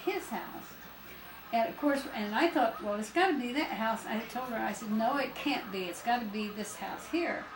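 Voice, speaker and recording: A woman speaks in an American accent with a high pitch. Her intonation is lively, and background noise is noticeable. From Stockton, California. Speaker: grandmother. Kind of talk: casual reminiscing conversation.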